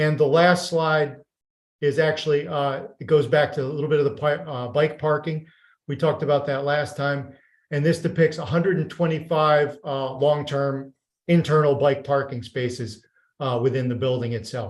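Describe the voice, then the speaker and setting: This man's voice is fairly high-pitched and somewhat breathy. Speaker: architect presenting development project. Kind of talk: project presentation at public meeting. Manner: fast.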